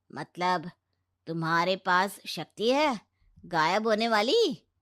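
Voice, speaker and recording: In a cartoonish character voice, a female-sounding voice of medium pitch speaks at a very slow pace. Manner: stern, sarcastic.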